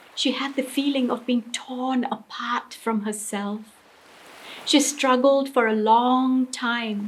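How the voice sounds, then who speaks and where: Against noticeable background noise, a woman with a high pitch speaks at a very slow pace and with fairly even intonation. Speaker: storyteller. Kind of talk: storytelling performance of a short story.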